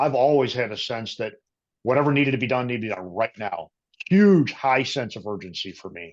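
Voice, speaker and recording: With an American accent, a man with a plain, everyday voice speaks at a medium pitch and a fairly quick pace. His intonation is lively, and his loudness swings a lot. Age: 50s. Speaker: career transition coach. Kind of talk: casual interview. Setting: podcast.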